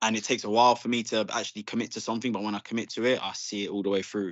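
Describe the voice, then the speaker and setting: Someone with an English accent speaks in a monotone, flat intonation. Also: man. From England. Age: 30s. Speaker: Muay Thai fighter. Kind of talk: casual chat.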